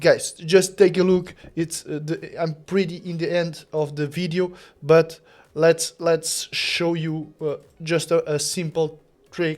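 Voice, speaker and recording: Speaking at a very slow pace, a man with a non-native accent uses a high pitch and monotone, flat intonation. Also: quiet background. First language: not English. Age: 30s. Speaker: content creator. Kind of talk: tutorial. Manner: halting.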